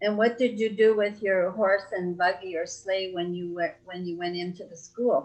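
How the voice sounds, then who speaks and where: A woman speaks at a moderate pace and medium pitch, with hardly any pauses and fairly even intonation. Her loudness swings widely, in a normal speaking voice. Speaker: family interviewer. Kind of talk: interview questions.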